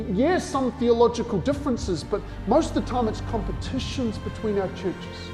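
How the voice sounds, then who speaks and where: Over music in the background, a man with a high pitch talks at a moderate pace, his pitch varying in an ordinary way. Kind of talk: spoken word poetry, passionate sermon-like delivery.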